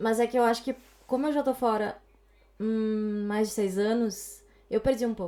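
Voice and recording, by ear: With a gaúcho accent and a dark, mellow tone, the speaker keeps a moderate pace, fairly even intonation and long, frequent pauses in a very clean recording with a silent background. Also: woman, fairly high pitch for a woman. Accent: gaúcho, southern Brazilian.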